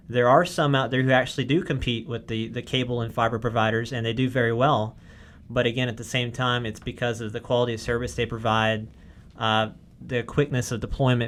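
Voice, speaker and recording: A man talks very fast in a Southern US accent. His pitch is medium and his intonation fairly even. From US South, Arkansas. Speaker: wireless network engineer. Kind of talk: podcast tutorial discussion. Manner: casual, many fillers.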